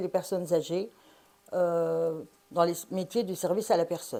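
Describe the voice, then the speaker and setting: A woman's dark, mellow tone at medium pitch and a fairly slow pace. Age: 60s. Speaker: parliamentary candidate. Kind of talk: interview.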